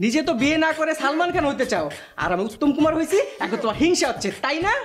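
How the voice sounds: A put-on character voice with a fairly bright tone and big pitch swings. It moves at a very fast pace over faint background music. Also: man, extremely high pitch for a man.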